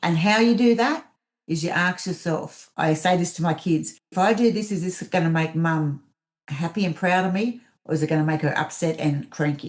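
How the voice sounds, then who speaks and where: An Australian-accented woman at a fairly low pitch, moderate pace and ordinary pitch variation, against a quiet background. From Australia, mid north coast of New South Wales. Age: 50s. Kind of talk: podcast interview.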